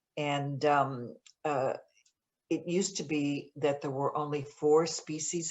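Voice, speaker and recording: In a Buffalo accent, a woman speaks with a very deep, low pitch and fairly even intonation. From US, Buffalo, New York. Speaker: author and journalist. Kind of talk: author Q&A at virtual book event. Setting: virtual event, video call. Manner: many fillers, hesitant.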